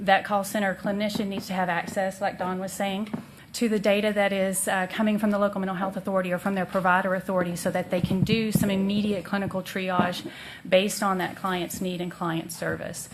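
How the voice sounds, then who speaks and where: Fairly quick and monotone, with flat intonation, a woman speaks at medium pitch amid noticeable background noise and audible room echo. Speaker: mental health policy consultant. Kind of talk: presentation to city council.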